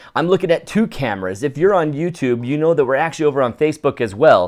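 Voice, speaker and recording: The speech moves at a very fast pace with lively intonation. The recording is very clean, with a silent background. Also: man. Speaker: photography podcast host. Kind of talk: live-streamed casual podcast chat. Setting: home recording at co-host's house, live stream. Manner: loud.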